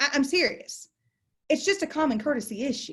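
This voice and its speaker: A woman speaks with a Southern US accent in a somewhat breathy voice. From Texas. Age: 40s. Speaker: continuing education instructor, closing attorney. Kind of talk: online lecture.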